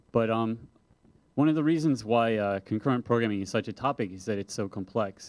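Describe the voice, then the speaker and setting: An unremarkable speaking voice from a man, fairly quick in pace and ordinary in pitch variation. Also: medium pitch for a man. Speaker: software developer and conference speaker. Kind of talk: conference talk.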